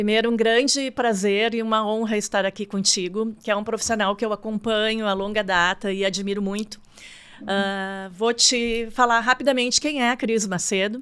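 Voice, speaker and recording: A woman speaks in an ordinary speaking voice at a fairly high pitch, moderate pace and fairly even intonation, in a very clean recording with a silent background. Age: 60s. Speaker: marketing consultant. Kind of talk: interview.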